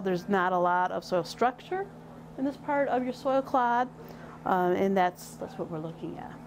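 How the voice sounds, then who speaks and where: Light background noise sits behind a woman with an American accent and ordinary pitch variation. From western Michigan. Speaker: extension educator in soil health; extension educator. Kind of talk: tutorial. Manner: halting, with repeated words and fillers. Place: workshop. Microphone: lapel.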